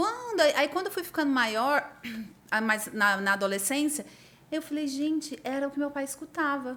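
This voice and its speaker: Over noticeable background noise, a woman speaks with a high pitch and very wide pitch swings. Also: moderate pace. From Minas Gerais, Brazil (Uberaba). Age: 30s. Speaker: architect. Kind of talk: casual chat.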